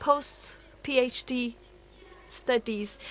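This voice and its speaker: This woman's voice sits at a high pitch and keeps a fairly even intonation. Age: 60s. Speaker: Sufi teacher and symposium speaker. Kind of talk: conference talk. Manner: halting.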